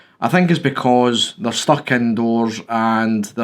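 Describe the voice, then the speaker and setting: A man's medium-pitched voice comes through on a very clean recording against a silent background. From Scotland. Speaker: YouTuber, photography hobbyist. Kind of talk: casual vlog talk. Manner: hesitant, many fillers.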